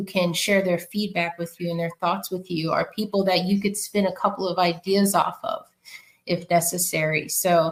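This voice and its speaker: In a New York accent, a woman speaks at medium pitch. She keeps a moderate pace with fairly even intonation. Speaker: podcast guest. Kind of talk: casual interview conversation.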